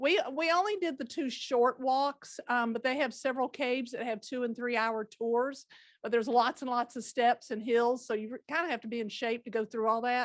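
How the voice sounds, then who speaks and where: A woman with a strong Southern accent speaks at a moderate pace in a high pitch with ordinary pitch variation, hardly pausing at all. The recording is very clean with a silent background and a dry, close sound with no echo. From Georgia (Rome), US South. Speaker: podcast guest, hosts' mother. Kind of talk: casual chat.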